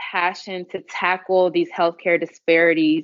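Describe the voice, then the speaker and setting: A woman is speaking with an American accent. Her pitch is medium. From Houston, Texas. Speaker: emergency medicine physician. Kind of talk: podcast interview answer.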